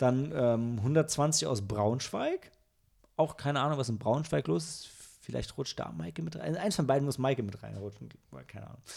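Speaking at a moderate pace and medium pitch, a man uses lively intonation and vocal fry, with big swings in loudness. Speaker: podcast host, film reviewer. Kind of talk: casual chat. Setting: recorded together in one room.

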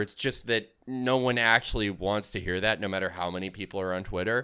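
A man's bright, sharp voice, fairly low in pitch, on a very clean recording with a silent background. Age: 20s. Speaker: podcast guest. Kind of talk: casual chat.

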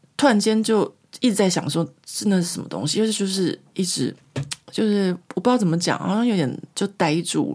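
A woman's somewhat breathy, medium-pitched voice moves at a moderate pace. Her intonation is lively. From Taiwan. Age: 40s. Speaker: podcast host. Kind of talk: casual storytelling monologue. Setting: home recording.

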